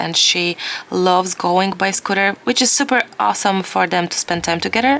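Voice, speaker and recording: Over noticeable background noise, a woman speaks at a medium pitch and a moderate pace. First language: not English. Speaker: watercolor art teacher. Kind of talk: tutorial; casual chat. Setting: home studio. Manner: halting.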